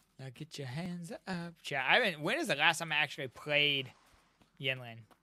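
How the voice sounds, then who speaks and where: Speaking at a moderate pace, a man with a fairly high voice sounds animated, varying his pitch in an ordinary way and making big swings in loudness. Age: 30s. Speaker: gaming streamer. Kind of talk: casual live stream chat.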